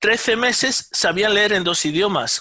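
In a raised, projected voice with a bright, sharp tone, a man speaks fairly slowly with lively intonation. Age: 50s. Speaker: neuroscientist and electronic engineer. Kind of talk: interview. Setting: remote call.

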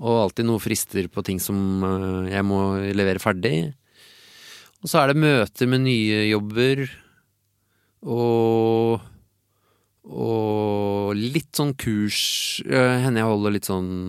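Over a silent background in a very clean recording, a man with a fairly low pitch and ordinary pitch variation speaks at a very slow pace, with long, frequent pauses. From Oslo, Norway (Tåsen). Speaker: illustrator and cartoonist. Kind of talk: casual interview chat.

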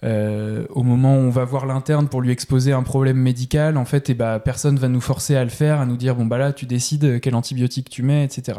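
A man speaks at a fairly quick pace with hardly any pauses, in a monotone, flat delivery at medium pitch with a dark, mellow tone. The recording is very clean, with a silent background. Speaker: general practice resident doctor. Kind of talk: interview conversation. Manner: halting, many fillers and repetitions.

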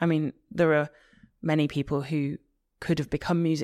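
A woman with a Liverpool accent speaks in a monotone, flat intonation at a very deep, low pitch, her tone dark and mellow, the sound dry and close with no echo on a very clean recording with a silent background. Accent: Liverpool (Scouse) English. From Liverpool, England. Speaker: opera singer. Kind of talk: interview.

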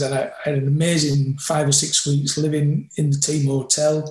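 In a room with audible echo, a man talks at a fairly quick clip in a fairly high, somewhat breathy voice. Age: 60s. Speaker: rugby coach. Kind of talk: interview conversation.

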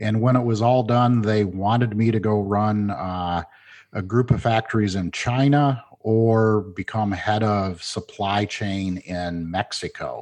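Over a quiet background, a man with a Midwestern American accent speaks at a fairly slow pace in a fairly low voice with fairly even intonation. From Michigan, Flint. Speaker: management consultant. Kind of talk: interview.

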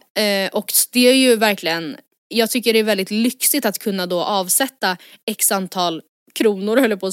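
A woman with a plain, everyday voice at a moderate pace, ordinary pitch variation, and a dry, close sound with no echo. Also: very clean recording, silent background. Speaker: podcast co-host. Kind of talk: casual chat.

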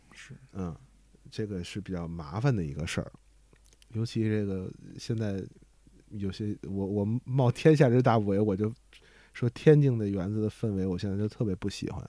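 The tone is dark and mellow, with ordinary pitch variation. Delivery moves at a moderate pace, broken by long, frequent pauses. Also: man, fairly low pitch for a man. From Beijing-Tianjin region. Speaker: crosstalk performer. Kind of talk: casual chat.

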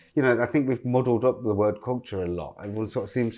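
A man with an East Midlands accent and fairly even intonation. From East Midlands, England (Loughborough). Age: 40s. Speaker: fashion designer. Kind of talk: casual interview conversation. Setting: at home in his apartment.

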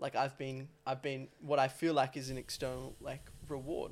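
This man talks at a moderate pace in a fairly high pitch, his intonation monotone and flat. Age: 20s. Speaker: podcast co-host, coach. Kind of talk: casual chat. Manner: halting, stammers and restarts.

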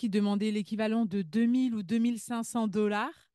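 A woman with a plain, everyday voice and fairly high pitch talks at a fairly slow pace, with a dry, close sound, no echo and a quiet background. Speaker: immigration consultant and podcast host. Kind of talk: casual interview.

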